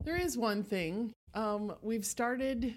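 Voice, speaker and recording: A woman with an American accent speaks at a fairly slow pace in an ordinary speaking voice, her pitch varying in an ordinary way. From Texas, Houston. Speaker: teacher and amateur athlete. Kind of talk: casual interview.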